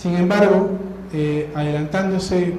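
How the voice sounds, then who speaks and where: A high-pitched man speaks with monotone, flat intonation. Audible room echo and noticeable background noise fill the clip. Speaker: lawyer, seminar speaker. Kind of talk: conference talk. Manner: fast.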